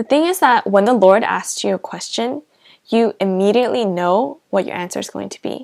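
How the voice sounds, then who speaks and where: A woman with a Korean accent speaks at a medium pitch. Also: dry, close sound with no echo. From South Korea. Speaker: pastor. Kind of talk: testimony.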